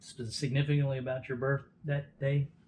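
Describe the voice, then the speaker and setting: Somewhat breathy, a man speaks at medium pitch with monotone, flat intonation. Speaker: interviewer. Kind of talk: interview questions.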